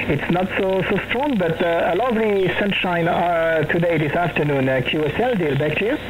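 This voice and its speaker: Someone with a French accent talks at a moderate pace with hardly any pauses. Noticeable background noise runs behind the voice. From France. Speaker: CB radio operator. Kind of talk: radio contact chat. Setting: radio transmission from parents' house. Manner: halting.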